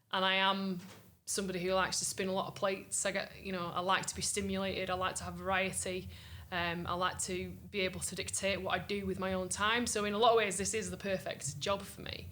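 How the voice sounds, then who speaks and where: A woman speaks very fast at a medium pitch, with a bright, sharp tone and vocal fry. Her intonation is monotone and flat, and there is audible room echo. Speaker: singer-songwriter. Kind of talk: interview. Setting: music festival.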